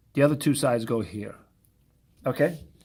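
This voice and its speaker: The speaker is a man. His recording is very clean, with a silent background. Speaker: math teacher. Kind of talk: lecture.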